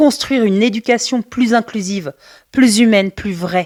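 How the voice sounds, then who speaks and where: In an unremarkable speaking voice, a woman talks at a fairly slow pace with a fairly high pitch and ordinary pitch variation, on a very clean recording with a silent background and a dry, close sound without echo. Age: 40s. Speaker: special education teacher and podcast host. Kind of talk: personal storytelling monologue. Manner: warm, conversational.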